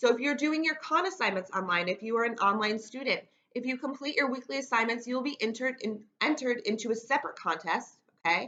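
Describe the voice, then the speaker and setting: Very fast speech with lively intonation in an American accent. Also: woman, high pitch for a woman. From New York State, Rochester. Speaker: teacher. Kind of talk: lecture. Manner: fast talker.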